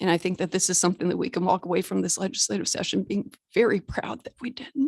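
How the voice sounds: A woman does a put-on character voice, raspy and at a medium pitch with ordinary pitch variation. She goes at a very fast pace in a dry, close sound with no echo.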